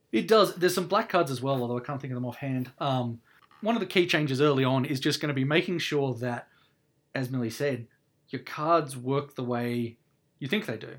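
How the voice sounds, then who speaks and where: A man talks fairly quickly, his medium-pitched voice rising and falling in an ordinary way. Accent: Australian. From Canberra, Australia. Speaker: podcast host and committee member. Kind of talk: casual chat podcast discussion.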